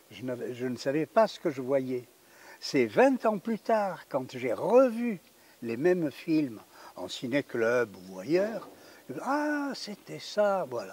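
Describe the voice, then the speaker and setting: A man's fairly high voice at a very slow pace, with very wide pitch swings, big swings in loudness, and long, frequent pauses. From French Riviera, Roquebrune-Cap-Martin. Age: 90s. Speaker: film director. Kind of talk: interview. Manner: hesitant.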